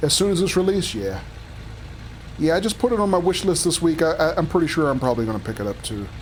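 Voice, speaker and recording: Amid audible room echo, a high-pitched man talks very fast, his pitch swinging very widely. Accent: American. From Philadelphia, US. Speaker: video game streamer. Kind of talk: livestream gameplay commentary. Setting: live stream with chat. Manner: casual, chatty.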